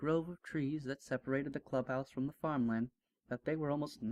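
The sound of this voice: With a quiet background, the reading voice remains unforced.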